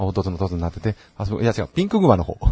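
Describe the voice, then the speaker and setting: Very deep and low in pitch, a man's dark, mellow, somewhat breathy voice moves at a fairly quick pace. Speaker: podcast co-host. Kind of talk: casual chat.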